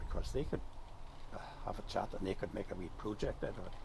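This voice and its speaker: A man talks with a Northern Irish accent. His pace is very fast. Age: 80s+. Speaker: farmer and retired teacher. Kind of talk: casual chat.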